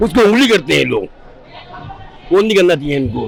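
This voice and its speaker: Noticeable background noise is present as a man talks at a moderate pace. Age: 80s+. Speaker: elderly voter interviewed on the street. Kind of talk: street interview. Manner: animated.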